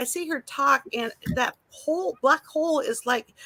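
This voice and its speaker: In a dry, close recording with no echo, a woman projects a raised, high-pitched voice with a bright, sharp tone. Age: 60s. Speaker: livestreamer, retired nurse. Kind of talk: casual chat. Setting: outdoors in garden.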